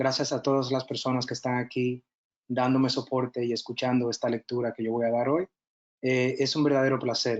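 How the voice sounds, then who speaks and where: With a Spanish accent, a man at a medium pitch speaks at a fairly quick pace in a flat, monotone way. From Dominican Republic. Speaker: nurse educator and military officer. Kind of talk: lecture. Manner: halting.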